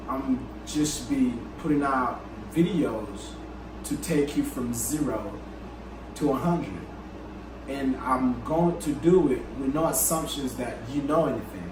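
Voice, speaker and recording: Over noticeable background noise, a man talks at a fairly slow pace, leaving long, frequent pauses. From Africa. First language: not English. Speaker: coding instructor. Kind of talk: channel introduction to camera. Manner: casual, conversational. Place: home room.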